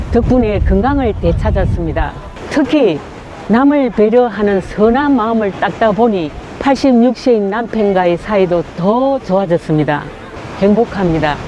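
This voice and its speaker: A woman's fairly high voice with lively intonation, very even loudness, and noticeable background noise. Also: fairly slow pace. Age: 80s+. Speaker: Falun Gong practitioner. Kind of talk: testimony.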